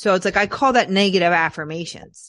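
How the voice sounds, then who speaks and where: Over a quiet background, a woman speaks with an American accent at a medium pitch. She keeps a moderate pace and lively intonation. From Philadelphia area, US. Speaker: trauma healing coach. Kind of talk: interview. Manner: halting.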